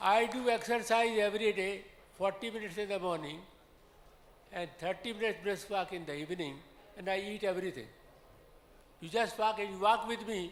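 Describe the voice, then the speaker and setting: A high-pitched male voice at a moderate pace, with ordinary pitch variation and long, frequent pauses. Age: 80s+. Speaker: audience member. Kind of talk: audience question.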